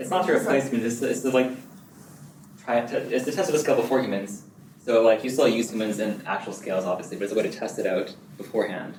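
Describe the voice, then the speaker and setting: Audible room echo and noticeable background noise around very fast talk with ordinary pitch variation. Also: man, medium pitch for a man. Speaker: research assistant presenting a talk. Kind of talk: academic talk with Q&A. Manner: repeats words, stumbles.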